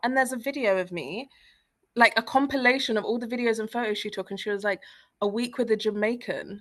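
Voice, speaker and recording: A woman with a British accent talks at a very fast pace in an animated tone. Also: ordinary pitch variation. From East London, England. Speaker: freelance copywriter and traveler. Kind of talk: casual interview chat.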